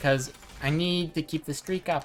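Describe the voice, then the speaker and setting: Over noticeable background noise, a woman with a very deep, low voice talks at a moderate pace. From Germany. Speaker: video game streamer. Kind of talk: casual livestream chat while gaming. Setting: live stream.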